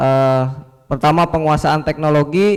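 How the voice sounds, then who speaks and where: The pace of this man's speech is moderate. His voice is fairly high in pitch. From West Java (Sukabumi, Sundanese). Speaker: fisheries extension officer, presenter. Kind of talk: workshop presentation.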